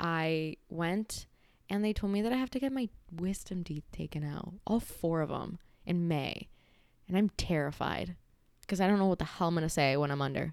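A woman with a fairly low pitch and an animated tone at a moderate pace, on a very clean recording with a silent background. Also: lively intonation. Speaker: podcast host. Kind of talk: casual solo chat. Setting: home recording with mic.

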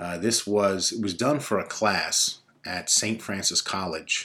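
Speaking at a fairly slow pace in a New York accent, a man uses a fairly low pitch with ordinary variation. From Brooklyn, New York (Bay Ridge). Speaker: podcast host. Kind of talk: casual monologue; reading aloud.

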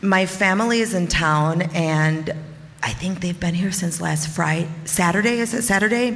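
A woman speaks at a moderate pace with ordinary pitch variation. Noticeable background noise and audible room echo fill the recording. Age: 40s. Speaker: storyteller. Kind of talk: testimony. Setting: stage with audience.

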